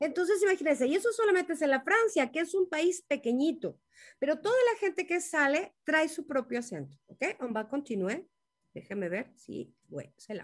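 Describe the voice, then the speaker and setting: Her high pitch swings very widely as a woman speaks. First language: Spanish (speaking French). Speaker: language teacher. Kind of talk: online class. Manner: halting.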